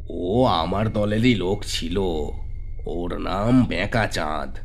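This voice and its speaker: A man puts on a cartoonish character voice that is gruff and booming. Clear background noise sits behind him. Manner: coarse, threatening.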